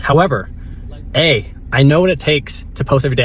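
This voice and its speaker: A man speaks with a fairly high pitch and ordinary pitch variation. Noticeable background noise is present. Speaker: self-improvement vlogger. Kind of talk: casual vlog monologue. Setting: in a car. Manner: loud; rambling with many restarts.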